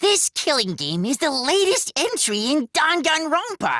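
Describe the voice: A cartoonish character voice talks at a moderate pace and a high pitch. Its pitch swings very widely.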